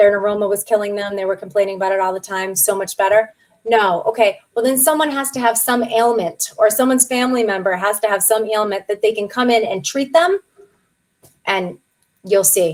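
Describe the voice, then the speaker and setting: Against a quiet background, a woman talks fairly quickly in an animated tone with ordinary pitch variation. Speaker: practice management consultant; guest. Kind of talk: webinar Q and A. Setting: online webinar. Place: home room.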